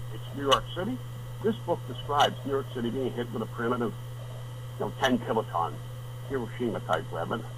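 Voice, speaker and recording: With an American accent, a man speaks at medium pitch and a fairly quick pace with fairly even intonation over noticeable background noise. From northeastern US. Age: 70s. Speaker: author and wilderness survivalist. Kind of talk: radio interview. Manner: blunt; halting.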